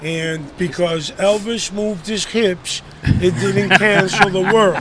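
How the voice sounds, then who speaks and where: A man at a very slow pace, high in pitch with ordinary pitch variation, over noticeable background noise. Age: 60s. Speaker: nightlife veteran. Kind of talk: casual chat. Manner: animated.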